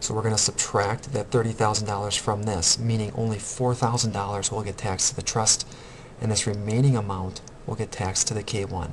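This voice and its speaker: A man talks at a fairly quick pace in a fairly low pitch. His intonation is monotone and flat, with noticeable background noise. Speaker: accounting instructor. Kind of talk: recorded tutorial lecture.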